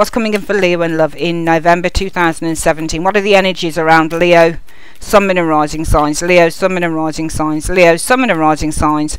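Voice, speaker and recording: A woman speaks at a fairly quick pace in a fairly low voice, her intonation fairly even over noticeable background noise. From Birmingham, England. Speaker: tarot reader. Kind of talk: tarot reading video.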